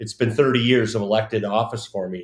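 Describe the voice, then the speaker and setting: A normal speaking voice with a Canadian accent and fairly even intonation. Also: man. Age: 60s. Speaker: former city councillor and politician. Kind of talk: casual interview on live community show. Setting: live stream studio.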